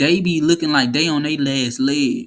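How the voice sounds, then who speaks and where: A man speaks in an animated tone at a fairly high pitch. His pace is fairly slow. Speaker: podcast host. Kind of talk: casual chat. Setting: smoky room, live stream. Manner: animated, repetitive.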